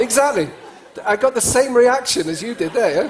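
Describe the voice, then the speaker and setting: A man talks at a very fast pace with very wide pitch swings. Noticeable background noise runs behind him. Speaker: cross-cultural speaker and trainer. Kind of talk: conference talk to an audience. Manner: conversational, animated.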